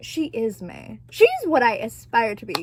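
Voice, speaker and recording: Noticeable background noise fills the recording. The talking is very slow. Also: woman. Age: 20s. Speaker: vlogger. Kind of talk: casual chat. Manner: animated.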